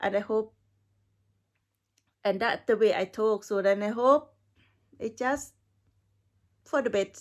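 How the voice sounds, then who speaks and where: A woman with a non-native accent and a fairly high pitch, fairly even intonation at a fairly slow pace, with long, frequent pauses. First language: not English. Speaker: perfume reviewer. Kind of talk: casual video review. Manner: halting.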